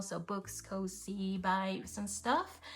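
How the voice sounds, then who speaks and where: Somewhat breathy, a woman speaks at a medium pitch. She has a Spanish accent. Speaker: planner and journaling youtuber. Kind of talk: casual flip-through chat. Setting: hotel room. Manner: relaxed, conversational with fillers.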